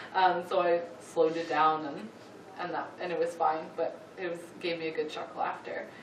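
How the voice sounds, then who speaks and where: Against noticeable background noise and audible room echo, a woman speaks in a monotone, flat intonation at a fairly low pitch and moderate pace. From Canada. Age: 20s. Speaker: church youth volunteer. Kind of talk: presentation. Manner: halting.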